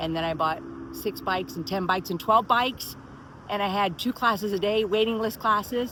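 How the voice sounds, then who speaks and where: Speaking at a fairly quick pace with an American accent, a woman uses an ordinary speaking voice, medium pitch and ordinary pitch variation. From Miami, Florida. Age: 60s. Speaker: personal trainer and spinning instructor. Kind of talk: casual talk to camera.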